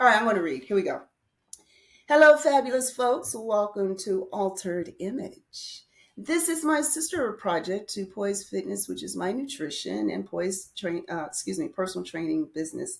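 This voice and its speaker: A loud woman's voice at a moderate pace, medium in pitch, with very wide pitch swings. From United States. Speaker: podcast host and English teacher. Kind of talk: reading a script aloud; casual podcast monologue. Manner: animated.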